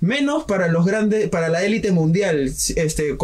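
This is a man's voice. He talks at a moderate pace. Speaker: student radio host. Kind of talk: radio interview, casual chat. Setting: radio studio. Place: studio.

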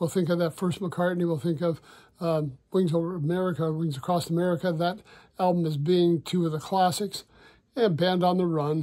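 A man with a high voice and a dark, mellow tone speaks at a moderate pace. His intonation is fairly even, and the background is quiet. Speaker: music vlogger. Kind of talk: casual vlog chat. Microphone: phone near.

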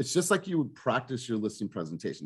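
Very wide pitch swings from a man, against a quiet background. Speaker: team coach. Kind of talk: coaching talk. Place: home room. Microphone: video call.

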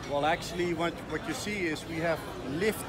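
Music sounds in the background. Over it, a man talks at a moderate pace. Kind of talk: interview answer. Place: waterside. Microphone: phone near.

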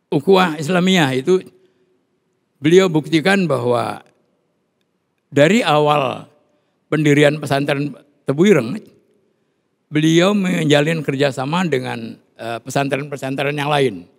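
The pace is very slow, broken by long, frequent pauses. Pitch variation is ordinary. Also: man, fairly high pitch for a man. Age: 70s. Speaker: Islamic cleric. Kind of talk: interview. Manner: halting.

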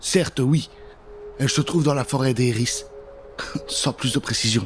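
A man speaks at medium pitch and a moderate pace. His pitch varies in an ordinary way over faint background noise.

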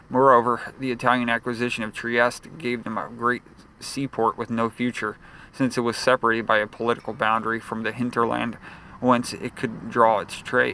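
Over noticeable background noise, a man with a medium-pitched voice speaks at a moderate pace in a flat monotone. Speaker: audiobook narrator. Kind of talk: audiobook reading of a history text. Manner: steady, formal, measured delivery; slightly halting, with occasional stumbles and repeats.

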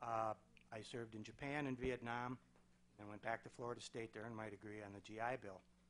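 With light background noise behind him, a man talks at a fairly quick pace in a monotone, flat way. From Wisconsin (Germantown); Wisconsin. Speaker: city council candidate, veteran, retired insurance executive; council candidate. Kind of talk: candidate forum speech. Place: meeting room. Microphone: podium.

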